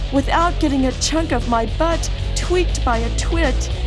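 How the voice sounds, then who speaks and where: A woman talks at a fairly slow pace. Behind her, music can be heard. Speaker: performance poet. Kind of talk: poetry reading.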